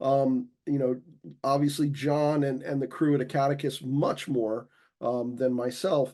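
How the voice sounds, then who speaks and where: A man talks at a fairly slow pace with a fairly high pitch and an unremarkable speaking voice. The background is quiet. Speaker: simulation educator at a college. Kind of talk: online community meeting.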